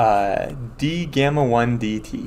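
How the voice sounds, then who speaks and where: Audible room echo surrounds this voice. A man speaks at a medium pitch. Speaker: math professor. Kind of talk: lecture. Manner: fast.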